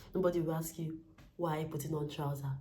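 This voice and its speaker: A woman talks at a fairly quick pace in a Nigerian accent, her pitch very deep and low. Her tone is dark and mellow, somewhat breathy, with fairly even intonation. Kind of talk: casual talk to camera. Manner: humorous, chatty.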